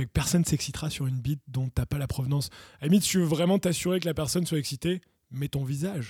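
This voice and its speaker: Dry and close with no echo, a man's fairly high, dark, mellow voice comes through, somewhat breathy. He talks at a very fast pace with ordinary pitch variation. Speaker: podcast co-host. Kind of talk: casual chat.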